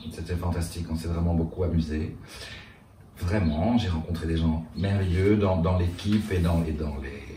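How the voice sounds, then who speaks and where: Somewhat breathy, a man talks at a very deep, low pitch with fairly even intonation. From Brussels, Belgium. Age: 50s. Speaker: drag cabaret performer. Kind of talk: interview answer.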